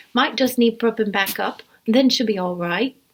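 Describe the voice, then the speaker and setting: Putting on a character voice with a New Zealand accent, a woman sounds gravelly and fairly high-pitched. She speaks at a moderate pace with ordinary pitch variation. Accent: broad New Zealand. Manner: low-key, few words.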